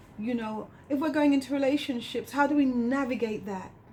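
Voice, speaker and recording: Noticeable background noise sits under speech that runs at a fairly quick pace with ordinary pitch variation. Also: woman. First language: not English. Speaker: community educator. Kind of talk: radio interview.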